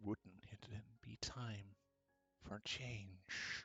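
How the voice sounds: Over background music, a man puts on a rumbling character voice, fairly low and flat in a monotone.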